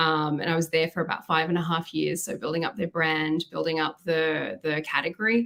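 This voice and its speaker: A woman's very deep, low pitch with an Australian accent, fairly even intonation and hardly any pauses. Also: fairly quick pace. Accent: Australian, noticeable. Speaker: marketing executive. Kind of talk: podcast interview.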